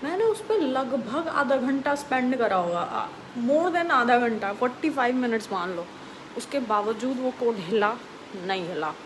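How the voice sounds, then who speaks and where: A woman's high-pitched voice with very wide pitch swings, over noticeable background noise. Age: 20s. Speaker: vlogger. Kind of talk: casual late-night vlog rant. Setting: bedroom late at night. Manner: casual, animated.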